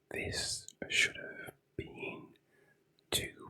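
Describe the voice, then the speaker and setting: Someone whispers at a very slow pace. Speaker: ASMR creator. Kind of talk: whispered ASMR commentary on comics. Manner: whispering; hesitant, repeats words.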